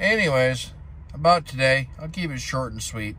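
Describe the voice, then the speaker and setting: A man speaks in a bright, sharp tone at a fairly slow pace. The sound is dry with no echo, with light background noise. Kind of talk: casual vlog chat. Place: car. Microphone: phone near.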